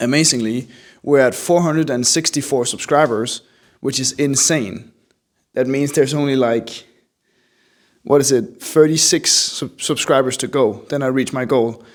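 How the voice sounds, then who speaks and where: Speaking with a slight European accent, a man keeps a moderate pace and medium pitch with fairly even intonation. The recording is very clean, with a silent background. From Denmark. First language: Danish. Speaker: artist, small video creator. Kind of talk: casual vlog narration over drawing.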